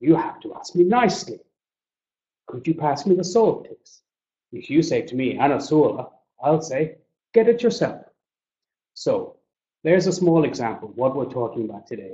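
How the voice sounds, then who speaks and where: A man with an Irish accent speaks in a fairly high voice at a moderate pace, with long, frequent pauses. His pitch swings very widely and his loudness swings a lot. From Ireland. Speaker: business English trainer. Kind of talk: webinar presentation. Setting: webinar.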